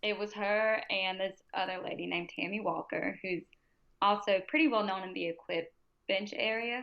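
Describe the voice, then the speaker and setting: Speech comes at a fairly slow pace. It is in an American accent. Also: woman. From US South. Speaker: powerlifter and pre-K teacher. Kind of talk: casual interview chat. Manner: loud; animated.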